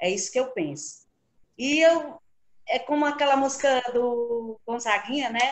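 The pace is fairly slow. Intonation stays lively throughout. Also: woman, high pitch for a woman. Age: 60s. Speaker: karaoke singer. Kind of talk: casual interview. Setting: video call.

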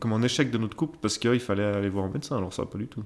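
The speaker is a man. His pitch is medium. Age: 30s. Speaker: podcast host's husband, father sharing fertility experience. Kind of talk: casual conversation, personal testimony. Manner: hesitant, filler-heavy.

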